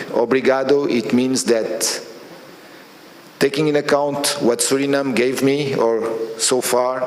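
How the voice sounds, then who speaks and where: A man with a Portuguese accent at a fairly slow pace, over noticeable background noise. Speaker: oil company executive. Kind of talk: speech at new year reception. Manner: halting.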